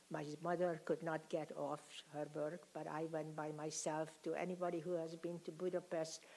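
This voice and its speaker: At a moderate pace and with hardly any pauses, a woman speaks in a fairly low, monotone, flat voice. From Hungary. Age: 80s+. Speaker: Holocaust survivor speaker. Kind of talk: testimony. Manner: halting.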